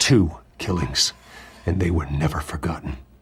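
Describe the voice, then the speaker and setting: At an unhurried yet not slow rate, someone puts on a character voice. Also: man, very deep, low pitch for a man, ordinary pitch variation. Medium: video game. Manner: controlled, terse.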